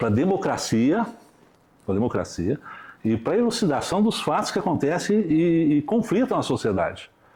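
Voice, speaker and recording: A man with a high pitch speaks at a moderate pace, his very wide pitch swings set against very even loudness. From Brazil, São Paulo state (Restinga, near Franca). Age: 60s. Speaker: police chief. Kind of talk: interview. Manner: halting.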